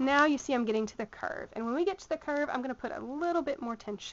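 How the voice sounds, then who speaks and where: With a Southern US accent, a woman talks in a high pitch with lively intonation. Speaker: sewing tutor. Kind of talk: tutorial. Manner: casual, with frequent fillers.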